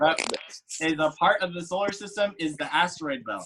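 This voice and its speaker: A man talks at a fairly quick pace. His pitch is high, with ordinary variation. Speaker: art teacher. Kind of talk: tutorial.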